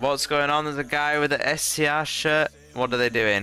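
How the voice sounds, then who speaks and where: A man's medium-pitched voice at a moderate pace, fairly even in intonation, with music in the background. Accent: British. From Britain. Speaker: gaming streamer. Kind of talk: live gameplay stream chat. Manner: casual, chatty.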